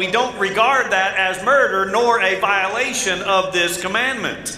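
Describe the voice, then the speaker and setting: A raised, projected voice moves at a moderate pace with ordinary pitch variation. The recording has audible room echo and light background noise. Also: man. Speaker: pastor. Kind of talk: sermon. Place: church.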